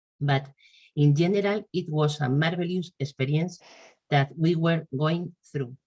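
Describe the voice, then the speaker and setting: A woman with a Spanish accent, a very deep, low pitch, a dark, mellow and somewhat breathy tone, ordinary pitch variation and a fairly slow pace. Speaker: patient association representative. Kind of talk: webinar presentation.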